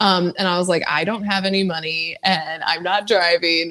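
Speaking in an American accent, a woman has a plain, everyday voice with a fairly low pitch. Her pace is moderate and her intonation fairly even. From California. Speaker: guitarist and songwriter. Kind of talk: casual chat.

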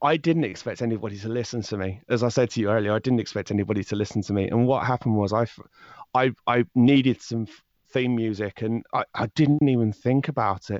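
Against a quiet background, with a dry, close sound and no echo, a man with a southern English accent speaks fairly quickly at a medium pitch with ordinary pitch variation. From southern England. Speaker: true crime podcast host. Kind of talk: interview conversation. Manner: fast talker; hesitant, many fillers and restarts.

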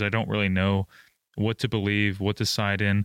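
A man with a plain, everyday voice speaks at a moderate pace and a fairly low pitch, recorded very cleanly with a silent background and a dry, close sound with no echo. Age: 20s. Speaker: F1 podcast co-host. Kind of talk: casual chat.

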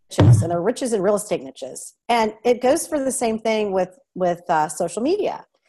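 Fairly high-pitched woman with an American accent, very wide pitch swings and hardly any pauses, at a moderate pace over music in the background. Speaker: lifestyle blogger and real estate agent. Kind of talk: casual interview.

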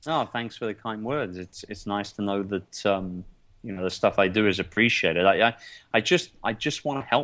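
A man with a London accent talks at a moderate pace and fairly low pitch, with ordinary pitch variation. The recording is very clean, with a silent background. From London, England. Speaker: entrepreneur. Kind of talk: interview.

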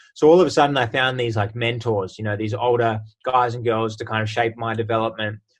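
With an Australian accent, a man talks very fast at a medium pitch, his intonation fairly even. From Australia, Sydney. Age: 20s. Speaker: Olympic sprinter. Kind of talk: casual interview.

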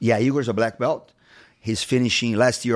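A man at medium pitch with a Portuguese accent, in a very clean recording with a silent background. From Brazil. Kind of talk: casual interview. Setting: studio.

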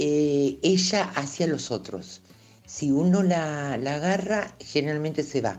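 This woman speaks at a very slow pace in a very deep, low pitch, her voice moving in very wide pitch swings. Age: 60s. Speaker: cat owner. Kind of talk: testimony. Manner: halting.

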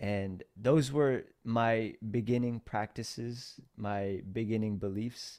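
A man speaks at a very slow pace and a medium pitch, with an American accent and a dark, mellow tone. His intonation is fairly even, with hardly any pauses, in a very clean recording with a silent background. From Philippines, then US from age six. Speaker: entrepreneur and podcast host. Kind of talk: interview.

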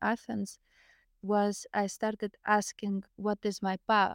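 A woman's medium-pitched voice with a Lithuanian accent, monotone and flat, at a fairly slow pace, in a dry, close sound with no echo on a very clean recording with a silent background. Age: 30s. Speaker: near-death experiencer, spiritual healer. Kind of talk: casual interview, storytelling.

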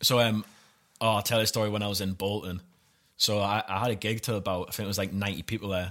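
In a very clean recording with a silent background, a man talks very fast with a Geordie accent. His voice is fairly low and his intonation is flat and monotone. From Newcastle, north-east England. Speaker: stand-up comedian. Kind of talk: casual chat.

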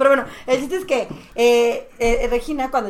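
A woman speaks at a moderate pace. She has a normal speaking voice. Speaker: podcast guest. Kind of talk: casual chat.

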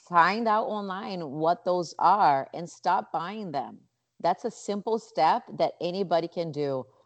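Speaking very slowly, a woman uses a fairly low voice. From Brazil, Rio de Janeiro. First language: Portuguese. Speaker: nonprofit founder and yoga teacher. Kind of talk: interview.

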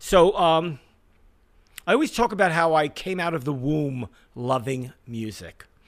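A man in a New York accent speaks with a fairly high pitch and lively intonation. Long, frequent pauses break up his speech. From Brooklyn, New York. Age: 60s. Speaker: music industry veteran. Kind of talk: casual interview storytelling.

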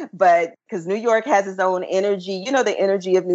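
A woman with a Memphis accent at a fairly quick pace. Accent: Southern US (Memphis). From US South, Memphis, Tennessee. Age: 40s. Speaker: traveler and business owner. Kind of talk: casual interview.

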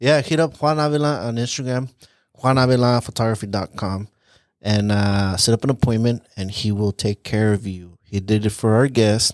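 A normal speaking voice talks at a moderate pace with ordinary pitch variation. The recording is very clean and dry, close-miked with no echo and a silent background. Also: man, medium pitch for a man. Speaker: podcast host. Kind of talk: casual chat. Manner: joking, casual banter.

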